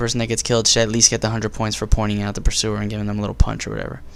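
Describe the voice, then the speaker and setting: This man has an American accent. His voice sits fairly low. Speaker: gaming commentator. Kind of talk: gameplay commentary. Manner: fast; halting.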